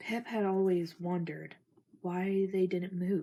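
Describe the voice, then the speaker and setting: A soft-spoken woman talks at a very slow pace with a medium pitch and a somewhat breathy quality. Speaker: ASMR creator. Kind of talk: reading aloud. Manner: monotone.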